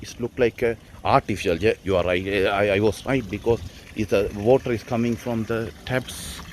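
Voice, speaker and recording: Over noticeable background noise, a man with a medium-pitched voice talks at a fairly slow pace with ordinary pitch variation. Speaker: travel vlogger. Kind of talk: walking travel vlog narration. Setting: outdoors at hillside temple. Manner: halting, many fillers and restarts.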